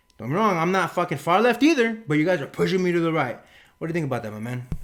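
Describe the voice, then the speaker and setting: In a very clean recording with a silent background, a man with a Spanish accent speaks in an animated tone at a high pitch, his voice swinging very widely in pitch. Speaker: podcast co-host. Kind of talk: casual opinion podcast talk. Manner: animated, emphatic.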